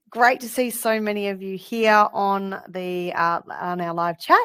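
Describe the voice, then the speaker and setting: A woman speaks with an Australian accent. Her pitch sits in the medium range and varies in an ordinary way. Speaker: counsellor and parenting program founder. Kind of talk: educational webinar. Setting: live online webinar. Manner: fast.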